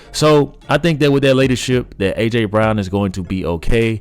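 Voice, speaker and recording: The voice has an animated tone and lively intonation. Music plays in the background. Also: man. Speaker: sports podcaster. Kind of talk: sports commentary monologue. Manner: fast.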